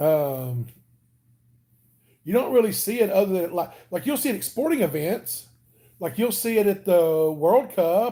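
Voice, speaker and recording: With a Southern US accent, a man speaks at a high pitch and a moderate pace, his tone dark and mellow and his pitch swinging very widely. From Alabama, US South. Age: 40s. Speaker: weight-loss vlogger. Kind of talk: casual live stream chat. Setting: home live stream. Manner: casual, chatty.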